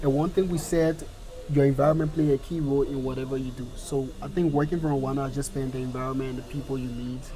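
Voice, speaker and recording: Noticeable background noise and audible room echo surround a man who speaks very fast with monotone, flat intonation. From Liberia. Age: young. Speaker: business owner. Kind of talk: interview.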